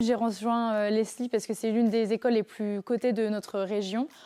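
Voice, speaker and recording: Speaking at a fairly quick pace, a woman with a fairly high pitch and a dark, mellow tone keeps a monotone, flat intonation in a dry, close sound with no echo. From western France, Nantes region. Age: 20s. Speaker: master's student and apprentice buyer. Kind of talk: interview testimony. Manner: hesitant, many fillers.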